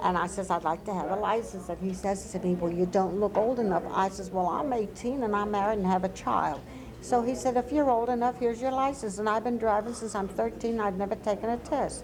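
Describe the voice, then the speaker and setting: There is noticeable background noise as a woman speaks at a fairly quick pace, with hardly any pauses and ordinary pitch variation. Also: medium pitch for a woman. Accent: American. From US Mid-Atlantic, Wilmington, Delaware. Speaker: oral history interviewee. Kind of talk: oral history interview. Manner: animated storytelling.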